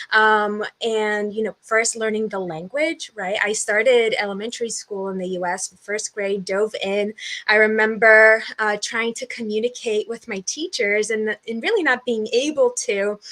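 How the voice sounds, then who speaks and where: At a moderate pace, a woman speaks in a bright, sharp tone. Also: fairly high pitch for a woman, fairly even intonation. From US Northeast (southern New Hampshire), born in Brazil. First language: Portuguese. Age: 20s. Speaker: podcast guest, community builder. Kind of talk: interview conversation. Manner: hesitant, many fillers.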